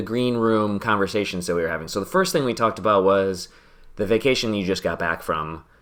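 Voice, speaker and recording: A man's ordinary speaking voice, fairly low in pitch, with ordinary pitch variation. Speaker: podcast host and gamer. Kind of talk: casual chat while gaming. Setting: live stream.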